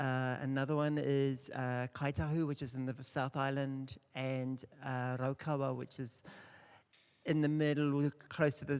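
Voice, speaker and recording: A man speaks with a New Zealand accent at a fairly slow pace. His medium-pitched voice has monotone, flat intonation. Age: 60s. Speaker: dance company artistic director. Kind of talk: panel introduction. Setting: stage with audience.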